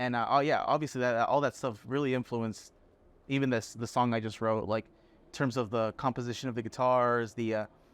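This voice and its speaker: Against a quiet background, someone talks at a fairly quick pace in a Spanish accent, with big swings in loudness. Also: man, medium pitch for a man. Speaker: songwriter and band musician. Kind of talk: casual chat. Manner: animated.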